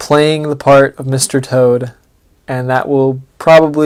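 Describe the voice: Plain reading aloud carries on with intonation that stays fairly even.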